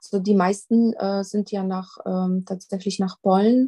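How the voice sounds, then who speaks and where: In a Polish accent, a woman speaks with a dark, mellow, somewhat breathy tone, recorded dry and close with no echo. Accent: Polish, still noticeable. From Poland. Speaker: crime prevention coordinator. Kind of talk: interview. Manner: hesitant with many fillers.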